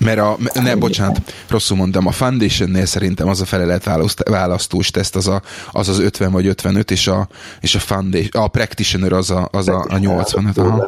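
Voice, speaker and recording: Man with a very deep, low pitch, monotone and flat, at very even loudness. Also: moderate pace. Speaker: podcast host, office employee. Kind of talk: casual chat. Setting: lives in England.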